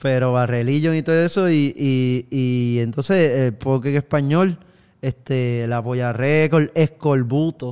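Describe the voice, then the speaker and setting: With ordinary pitch variation, an unremarkable speaking voice proceeds fairly slowly. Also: man, medium pitch for a man. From Puerto Rico, countryside. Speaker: musician. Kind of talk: casual chat.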